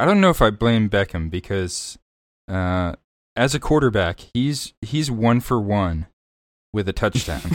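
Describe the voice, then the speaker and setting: A man with a fairly low pitch talks at a fairly slow pace in a plain, everyday voice, with lively intonation. The recording is very clean, with a silent background. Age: young. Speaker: podcast co-host, stats guy. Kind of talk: casual chat.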